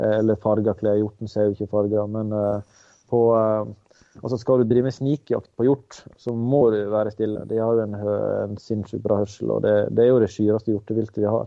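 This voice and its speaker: A man talks with a fairly low pitch at a moderate pace. His intonation is monotone and flat. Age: 30s. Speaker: hunter and caterer. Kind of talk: interview.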